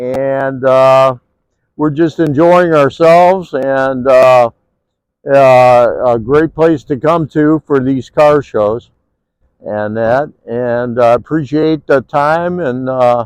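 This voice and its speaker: A man with an American accent speaks at a very slow pace and a medium pitch. His pitch variation is ordinary, and the sound is dry and close with no echo. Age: 70s. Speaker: car show exhibitor, hot rod builder. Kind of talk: casual interview. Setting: outdoors at car show. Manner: halting, many filler words.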